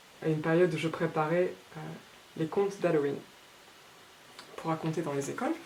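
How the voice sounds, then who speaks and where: Over noticeable background noise, a woman speaks in a fairly low voice with fairly even intonation. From France. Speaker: illustrator. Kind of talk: artist talk. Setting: Facebook live. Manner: halting.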